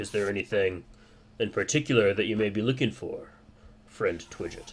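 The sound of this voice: A man does a put-on character voice, gruff and raspy at a medium pitch. He keeps a moderate pace with ordinary pitch variation.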